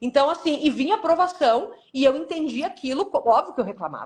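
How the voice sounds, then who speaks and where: The pace is fairly quick. The speaker is a woman. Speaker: cancer survivor and author. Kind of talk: testimony. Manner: soft-spoken.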